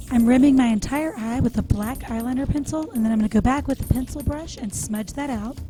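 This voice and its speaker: A woman's quiet, high voice at a very fast pace with hardly any pauses, ordinary pitch variation, and music in the background. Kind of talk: makeup tutorial voice-over. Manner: quiet, low volume.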